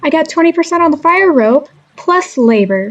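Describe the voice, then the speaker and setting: A put-on, female-sounding character voice at an extremely high pitch, delivered fairly slowly. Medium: read story.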